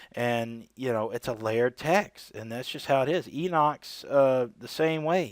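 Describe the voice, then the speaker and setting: In a very clean recording with a silent background, an ordinary speaking voice moves at a fairly slow pace with ordinary pitch variation and big swings in loudness. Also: man, medium pitch for a man. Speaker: religious video creator. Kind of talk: solo video commentary on scripture. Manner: casual, with many fillers.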